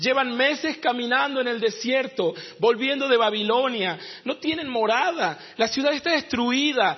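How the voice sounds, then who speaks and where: A man speaks at an extremely high pitch and a fairly slow pace, with ordinary pitch variation. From northern Argentina, Jujuy. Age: 30s. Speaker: pastor and missionary. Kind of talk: sermon. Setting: church.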